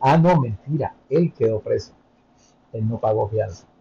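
A man's somewhat breathy voice, medium in pitch, with a dark, mellow tone and a fairly slow pace. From Colombia, Bogotá. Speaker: immigrant content creator. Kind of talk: interview.

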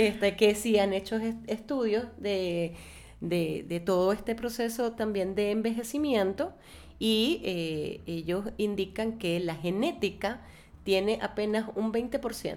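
Here a woman talks at a very slow pace. Her pitch varies in an ordinary way. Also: medium pitch for a woman. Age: 50s. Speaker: guest on aging and self-image. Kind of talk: interview.

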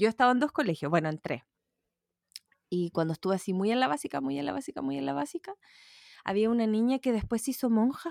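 Talking at a very fast pace with long, frequent pauses, a woman with a Chilean accent uses a fairly high pitch and very wide pitch swings, recorded with a dry, close sound and no echo. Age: 30s. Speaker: podcast co-host. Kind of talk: casual chat.

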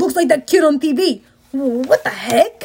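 In a put-on character voice, the speaker sounds high-pitched and gruff, moving at a fairly slow pace.

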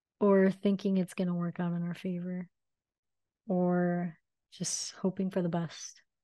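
A woman speaks in a dark, mellow tone with monotone, flat intonation. She keeps a fairly slow pace with long, frequent pauses. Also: medium pitch for a woman. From Miami, Florida. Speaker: podcast host and artist. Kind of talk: casual solo monologue. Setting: self-recorded on video. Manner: hesitant, many fillers.

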